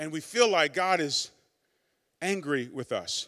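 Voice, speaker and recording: Against a quiet background, a man uses a raised, projected voice with a bright, sharp tone at a fairly slow pace. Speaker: pastor. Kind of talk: sermon. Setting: church. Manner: warm, earnest, conversational preacher. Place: church. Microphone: handheld.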